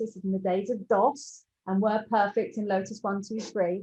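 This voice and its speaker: Here a woman speaks with a London accent at medium pitch. Her intonation stays fairly even. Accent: southern English, London, educated. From London, England. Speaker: entrepreneur. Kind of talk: interview.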